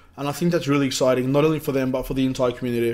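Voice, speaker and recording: A man with an Australian accent and a medium pitch. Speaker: crypto ICO reviewer. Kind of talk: casual video review. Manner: casual, with many fillers.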